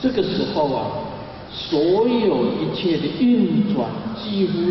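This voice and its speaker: Over light background noise and strong room echo, a man speaks at a very slow pace. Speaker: religious teacher. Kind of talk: sermon. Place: hall. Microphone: podium.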